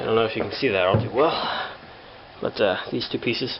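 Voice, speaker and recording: Noticeable background noise behind a man's fairly even intonation. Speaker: hobbyist tractor restorer. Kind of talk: tutorial. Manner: halting, many fillers; casual.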